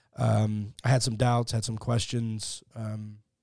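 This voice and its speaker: A dark, mellow tone with an American accent, in a very clean recording with a silent background. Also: man. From Texas, Fort Worth. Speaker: atheist podcaster. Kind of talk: conversational interview. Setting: studio.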